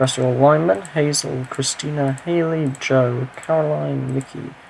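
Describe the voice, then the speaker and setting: Noticeable background noise runs under a man's voice. He speaks at a medium pitch and a moderate pace with fairly even intonation. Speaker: game commentator. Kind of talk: video game match commentary. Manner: casual, humorous.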